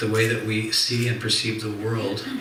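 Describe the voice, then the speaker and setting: Soft-spoken with fairly even intonation, a man talks amid noticeable background noise and audible room echo. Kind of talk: religious lecture. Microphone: too quiet for listeners.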